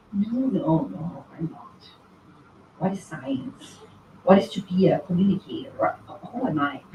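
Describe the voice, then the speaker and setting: A woman at a medium pitch speaks at a fairly slow pace with long, frequent pauses, big swings in loudness and very wide pitch swings, over noticeable background noise. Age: 40s. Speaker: linguist and science communicator on YouTube. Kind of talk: conference talk.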